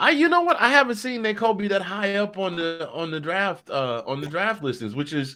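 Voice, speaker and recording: With music in the background, a raised, projected voice swings very widely in pitch and leaves hardly any pauses. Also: man, high pitch for a man. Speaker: sports podcast co-host. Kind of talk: casual sports talk chat. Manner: animated.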